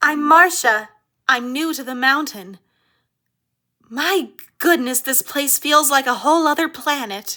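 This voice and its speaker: A put-on character voice, female-sounding and high in pitch, at a fairly slow pace with long, frequent pauses, on a very clean recording with a silent background. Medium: audio drama. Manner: polite, soft-spoken.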